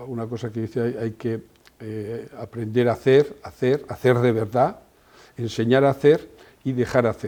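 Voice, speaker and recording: A man with a dark, mellow tone talks at a moderate pace and medium pitch, his intonation monotone and flat. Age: 70s. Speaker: company president. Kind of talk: interview. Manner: halting.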